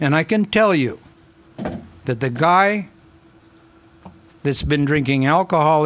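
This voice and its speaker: A man is speaking. His pace is moderate. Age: 60s. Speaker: county council member. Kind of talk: heated debate. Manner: animated.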